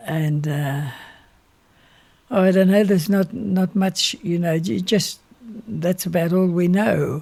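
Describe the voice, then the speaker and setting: In an Australian accent, a high-pitched man speaks at a very slow pace with long, frequent pauses. His pitch varies in an ordinary way. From Australia, rural Victoria. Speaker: retired minister and civil engineer. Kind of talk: interview.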